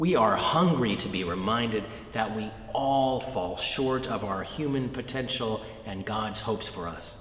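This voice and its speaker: Over noticeable background noise, a man with an American accent talks at a fairly slow pace and medium pitch, with ordinary pitch variation. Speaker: Episcopal bishop. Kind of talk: Easter sermon message.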